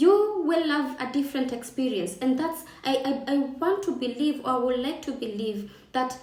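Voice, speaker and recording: Lively intonation in a Kenyan accent at a moderate pace, with audible room echo and noticeable background noise. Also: woman. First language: Kikamba. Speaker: travel and lifestyle vlogger. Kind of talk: casual vlog talk to camera.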